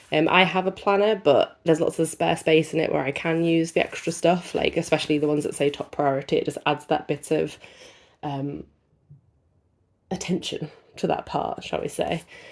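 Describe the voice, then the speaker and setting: Recorded very cleanly with a silent background, a woman speaks at a fairly low pitch with an English accent. Her intonation is fairly even, and her pace is moderate. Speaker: unboxing youtuber. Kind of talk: casual product review.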